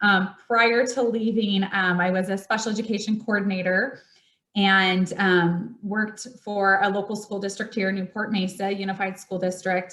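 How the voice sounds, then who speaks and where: Loud and bright, sharp in tone, a woman speaks at a medium pitch and moderate pace with monotone, flat intonation. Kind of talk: presentation.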